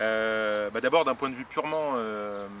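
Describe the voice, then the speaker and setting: This man speaks very slowly at a medium pitch, with ordinary pitch variation. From Paris region, France. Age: 30s. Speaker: improv actor. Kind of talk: interview. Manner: halting, many fillers.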